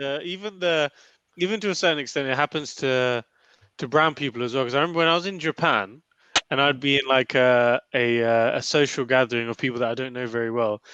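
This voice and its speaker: Against a quiet background, a man talks at a very fast pace in a bright, sharp tone at medium pitch with ordinary pitch variation, the sound dry and close with no echo. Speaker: podcast co-host. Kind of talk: casual chat. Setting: studio.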